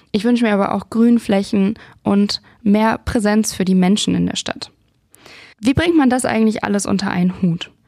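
The woman's voice has a dark, mellow tone at a medium pitch. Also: ordinary pitch variation, moderate pace. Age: 30s. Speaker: podcast host. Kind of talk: scripted intro.

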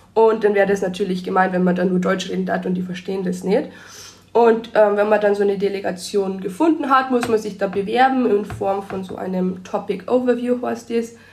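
Against audible room echo, a woman talks at a fairly quick pace in a medium pitch with ordinary pitch variation. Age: 20s. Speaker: biology student and youth volunteer. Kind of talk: casual interview.

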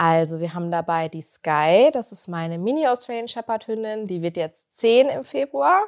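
Recorded very cleanly with a silent background and a dry, close sound with no echo, a woman speaks at a moderate pace with hardly any pauses, her pitch swinging very widely and her loudness shifting a great deal. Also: medium pitch for a woman. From East Westphalia, Germany (Bünde). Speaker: pet influencer. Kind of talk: casual interview. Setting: studio.

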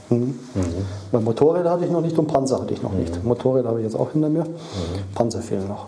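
Talking at a very fast pace with very wide pitch swings, the voice comes through noticeable background noise and audible room echo. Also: man, medium pitch for a man. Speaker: former automotive project manager. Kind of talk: interview, personal recollections. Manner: halting.

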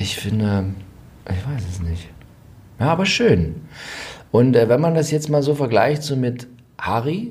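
With vocal fry and very wide pitch swings, a man at medium pitch speaks through long, frequent pauses amid audible room echo. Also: fairly slow pace. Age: 40s. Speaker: royal expert podcast co-host. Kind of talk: casual chat.

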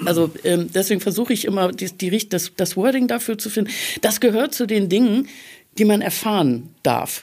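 A woman speaks in a plain, everyday voice at medium pitch and a moderate pace, with lively intonation. It is a very clean recording with a silent background. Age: 50s. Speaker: life coach. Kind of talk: casual chat. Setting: studio.

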